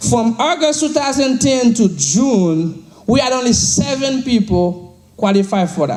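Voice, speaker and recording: Over noticeable background noise, a man speaks at a fairly slow pace with hardly any pauses, his extremely high pitch carried by lively intonation. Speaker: financial services team leader. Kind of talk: motivational speech to an audience. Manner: high energy, enthusiastic.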